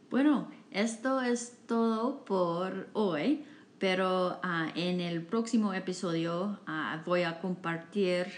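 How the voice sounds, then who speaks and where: A woman's medium-pitched voice in an English accent, very slow in pace, with ordinary pitch variation. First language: English (speaking Spanish). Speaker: podcast host, Spanish learner. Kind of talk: casual chat. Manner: halting, many fillers.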